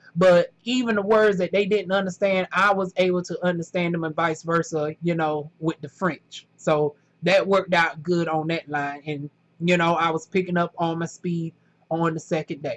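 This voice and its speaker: With a strong Southern US accent, a woman speaks at a moderate pace and a fairly low pitch, in a dry, close sound with no echo. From US South, North Carolina. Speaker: factory worker vlogger. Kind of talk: casual vlog monologue. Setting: indoors during thunderstorm. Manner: animated, colloquial.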